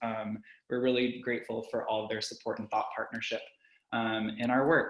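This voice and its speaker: A man speaks at medium pitch. His intonation stays monotone and flat. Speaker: arts organization programs manager. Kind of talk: webinar introduction. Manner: fast; frequent filler words.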